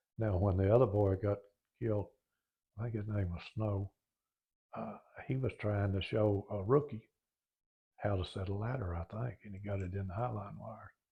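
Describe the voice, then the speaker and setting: A man's somewhat breathy voice, fairly low in pitch, with fairly even intonation and long, frequent pauses. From Oklahoma. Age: 80s+. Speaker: retired firefighter. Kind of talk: oral history interview. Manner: halting.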